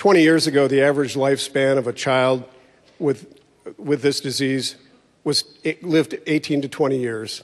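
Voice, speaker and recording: In a plain, everyday voice, a man talks at a moderate pace with fairly high pitch and fairly even intonation. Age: 60s. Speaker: church member. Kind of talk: testimony.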